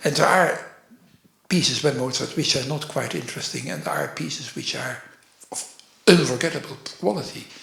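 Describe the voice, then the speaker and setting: A man with a Dutch accent speaks at a fairly quick pace but with long, frequent pauses, his fairly high voice showing lively intonation and big swings in loudness. There is audible room echo. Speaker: orchestral programmer and author. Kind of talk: interview. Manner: halting, many fillers.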